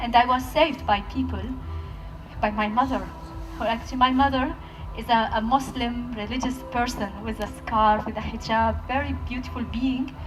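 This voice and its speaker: A woman speaks at a moderate pace over background music, with audible room echo. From Palestinian Bedouin village in Israel. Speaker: peace activist speaker. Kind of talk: talk at a festival, with audience Q&A. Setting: stage with audience.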